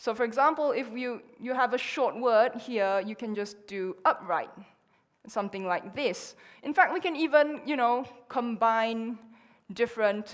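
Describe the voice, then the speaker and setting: A woman with a Chinese accent talks at a fairly slow pace, fairly high in pitch, with ordinary pitch variation. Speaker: conference speaker. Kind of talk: conference talk.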